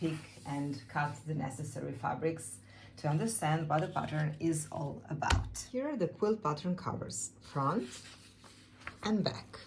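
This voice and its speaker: A woman with a Serbian accent speaks at a fairly slow pace in a very deep, low pitch, with very wide pitch swings and audible room echo. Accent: Serbian accent, non-native English. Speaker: quilt and fabric designer. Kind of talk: tutorial.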